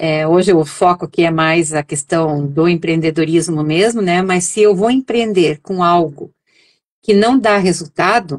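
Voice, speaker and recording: A woman's plain, everyday voice, fairly low in pitch with ordinary variation, at a fairly slow pace and very even loudness. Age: 60s. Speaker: essential oils entrepreneur. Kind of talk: interview. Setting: live stream. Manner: conversational, many fillers.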